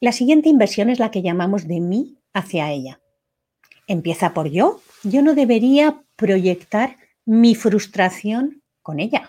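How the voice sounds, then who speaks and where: Her voice swings very widely in pitch, sitting fairly high for a woman. The tone is dark and mellow, and somewhat breathy. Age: 50s. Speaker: coach leading a self-inquiry workshop. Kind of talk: live online workshop.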